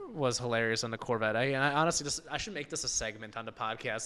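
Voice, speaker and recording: A man with a medium pitch speaks against noticeable background noise. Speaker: automotive podcast host. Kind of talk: casual chat. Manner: fast; animated.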